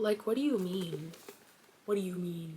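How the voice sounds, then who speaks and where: A woman with a Southern US accent talks in an animated tone. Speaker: book youtuber. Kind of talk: casual chat.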